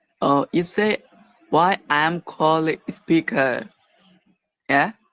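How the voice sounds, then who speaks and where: A man speaks at a very slow pace in a fairly high pitch. The sound is dry and close with no echo. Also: ordinary pitch variation. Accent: Bangladeshi. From Bangladesh. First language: Bengali. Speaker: caller. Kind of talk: call-in conversation. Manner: halting, broken English.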